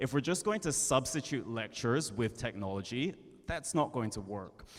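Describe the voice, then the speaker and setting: A man with a medium-pitched voice speaks with lively intonation. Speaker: panelist, education nonprofit leader. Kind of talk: panel discussion. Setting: conference panel, hybrid. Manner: fast.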